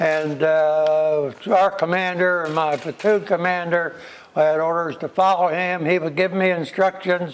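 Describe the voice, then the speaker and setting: Speaking at a fairly slow pace, this man has a high pitch and monotone, flat intonation. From United States. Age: 90s. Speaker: war veteran. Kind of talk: interview testimony. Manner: halting.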